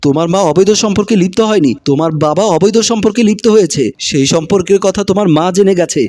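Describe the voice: The plain reading aloud shows ordinary pitch variation.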